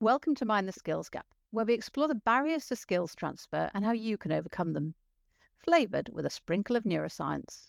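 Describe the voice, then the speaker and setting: On a very clean recording with a silent background and a dry, close sound with no echo, a woman talks at a fairly quick pace and a fairly high pitch, with very wide pitch swings. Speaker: podcast host. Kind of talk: interview.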